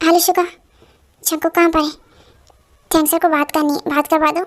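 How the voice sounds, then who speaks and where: In a put-on character voice, a woman talks fairly quickly at an extremely high pitch with monotone, flat intonation. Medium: fan dub.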